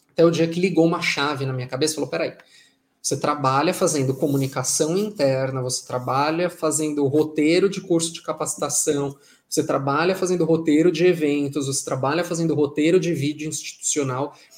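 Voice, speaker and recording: This man speaks at a fairly quick pace with a fairly high pitch. His intonation is fairly even. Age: 20s. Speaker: journalist and writer. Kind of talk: casual interview chat. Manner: talkative.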